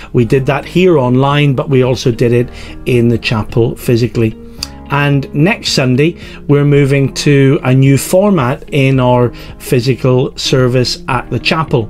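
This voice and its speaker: A man speaks at a fairly slow pace with very even loudness and fairly even intonation, while faint music plays in the background. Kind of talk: church service introduction. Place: home room. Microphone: webcam.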